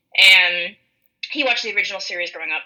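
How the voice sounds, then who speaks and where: A woman speaks with an American accent. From rural western Minnesota. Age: 20s. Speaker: podcast co-host. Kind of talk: casual chat. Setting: online call.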